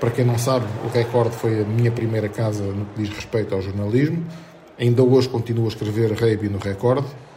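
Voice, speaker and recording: Audible room echo and noticeable background noise accompany the recording. A man speaks at a fairly quick pace and medium pitch with fairly even intonation. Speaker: podcast host and sports journalist. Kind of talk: scripted narration.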